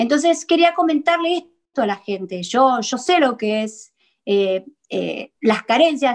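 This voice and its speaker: Against a quiet background, a woman with a Rioplatense accent speaks at a fairly slow pace, her high pitch carried by lively intonation. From Argentina. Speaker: psychologist; guest. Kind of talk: talk show interview. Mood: earnest, reassuring. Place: home room. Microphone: video call.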